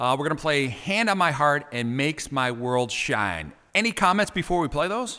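Bright and sharp in tone, a man with a Chicago accent speaks at a fairly high pitch and moderate pace, his pitch swinging very widely. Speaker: podcast host. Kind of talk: interview.

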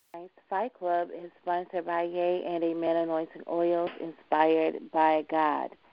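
Her pitch fairly low, a woman speaks with monotone, flat intonation. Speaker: announcements host of prayer line. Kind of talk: prayer line meeting, announcements and fervent prayer. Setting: phone conference line. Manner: fervent, praising.

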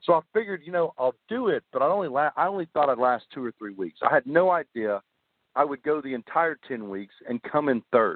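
Talking at a fairly quick pace, a man with a fairly high pitch uses very wide pitch swings. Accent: Southern US. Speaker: army veteran and author. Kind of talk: interview.

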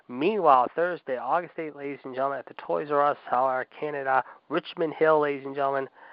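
Talking at a very fast pace, a man shows ordinary pitch variation and big swings in loudness. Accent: American. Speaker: wrestling podcast host. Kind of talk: live wrestling-announcer patter, bombastic radio-show host delivery with call-in segment. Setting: live call-in radio show.

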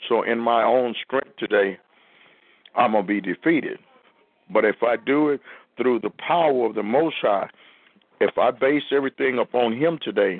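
Long, frequent pauses break up a man's moderate pace, his loudness very even and his medium pitch showing ordinary variation. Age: 50s. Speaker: preacher hosting a call-in prayer line. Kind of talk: sermon and call-in discussion.

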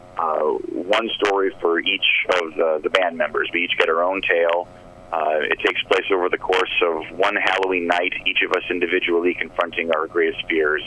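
A man talks at a moderate pace with very even loudness against noticeable background noise. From Phoenix, Arizona. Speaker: rock band musician. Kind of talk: radio interview. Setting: phone call. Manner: halting, self-deprecating.

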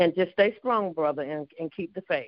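A woman with a fairly low pitch talks in an unremarkable speaking voice with ordinary pitch variation.

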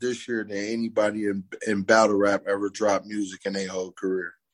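The speaker is a man with an unremarkable speaking voice. His pitch sits fairly low. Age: 50s. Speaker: battle rapper. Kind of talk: casual chat.

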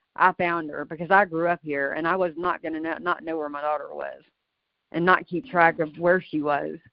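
A woman speaks at a moderate pace in a fairly low voice. Her intonation stays flat and monotone. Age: 40s. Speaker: mother of a daughter in a custody case. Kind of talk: casual chat.

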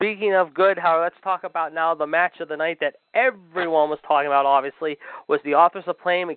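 Talking at a fairly quick pace, a man with an American accent uses a high pitch. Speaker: radio host. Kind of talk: casual chat. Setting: studio. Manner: animated.

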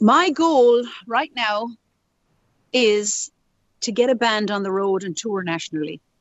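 A woman with an Irish accent speaks at a fairly slow pace, her lively intonation broken by long, frequent pauses. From Ireland. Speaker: musician. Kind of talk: interview. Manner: run-on, chatty.

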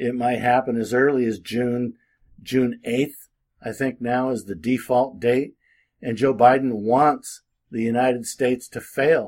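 Using an unremarkable speaking voice, a man speaks at a fairly slow pace with a medium pitch and fairly even intonation. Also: very clean recording, silent background. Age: 60s. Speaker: political commentator and legal advisor. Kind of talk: casual monologue. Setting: at home with window open.

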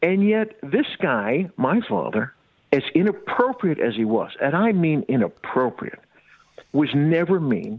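A man speaks at a fairly slow pace with a high pitch. His pitch swings very widely while his loudness stays very even. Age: 60s. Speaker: comedian. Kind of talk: interview. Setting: phone call.

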